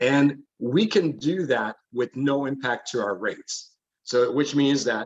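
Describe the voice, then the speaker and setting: The sound is dry and close, with no echo. A man talks at medium pitch with ordinary pitch variation. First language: French. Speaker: mortgage lender. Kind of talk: interview.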